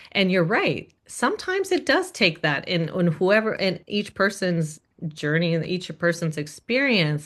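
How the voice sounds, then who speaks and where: A woman with an American accent, a plain, everyday voice, medium pitch and ordinary pitch variation, fairly slow yet with hardly any pauses, over a quiet background. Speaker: singer. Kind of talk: casual interview.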